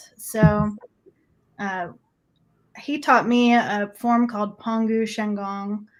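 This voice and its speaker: A woman speaks with a Midwestern accent. Her pitch is fairly high and her pace very slow. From US Midwest (Nebraska). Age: 40s. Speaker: energy healer. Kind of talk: interview testimony.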